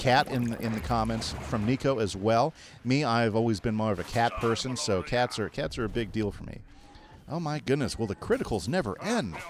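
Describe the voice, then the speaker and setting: With an American accent, a man speaks at medium pitch in an animated tone, with noticeable background noise. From New Mexico (Santa Fe) and Texas. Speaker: game streamer. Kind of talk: casual live-stream chat.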